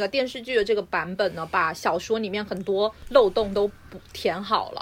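This is an unremarkable speaking voice from a woman. She keeps a moderate pace, and her pitch variation is ordinary. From southern China. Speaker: podcast co-host. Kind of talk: casual chat.

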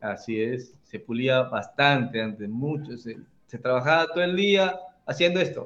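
Using an ordinary speaking voice, a man at medium pitch talks fairly slowly with lively intonation. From Peru, Trujillo. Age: 40s. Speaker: carpenter and tool-making content creator. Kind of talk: casual interview.

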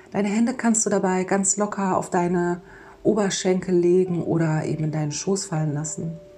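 A woman's medium-pitched voice at a moderate pace, with fairly even intonation and noticeable background noise. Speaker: podcast host and mindfulness coach. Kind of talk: guided meditation. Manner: soft-spoken.

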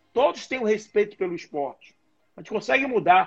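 A man's high-pitched voice at a fairly quick pace. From Brazil, Bahia. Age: 50s. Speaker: boxing and MMA coach. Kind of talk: casual interview. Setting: live video stream.

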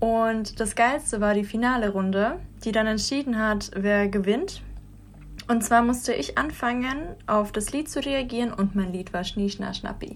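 With audible room echo, a woman speaks at a fairly slow pace in a fairly high, somewhat breathy voice with ordinary pitch variation. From Russia, St. Petersburg. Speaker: dancer. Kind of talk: casual chat. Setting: studio.

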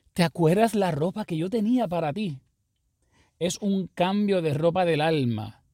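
A man's high-pitched voice with a dark, mellow tone, lively intonation and a fairly slow pace, in a dry, close sound without echo. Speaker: pastor. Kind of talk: sermon-style podcast monologue.

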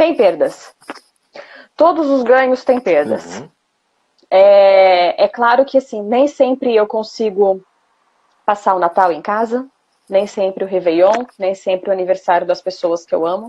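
Long, frequent pauses break up a woman's fairly slow speech. Her tone is dark and mellow, with lively intonation. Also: medium pitch for a woman. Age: 30s. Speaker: former flight attendant. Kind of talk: interview. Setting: Instagram live stream.

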